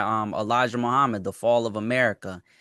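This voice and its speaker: A man of medium pitch speaks at a moderate pace with a bright, sharp tone, recorded dry and close with no echo over a quiet background. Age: 20s. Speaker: podcast host. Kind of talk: casual chat.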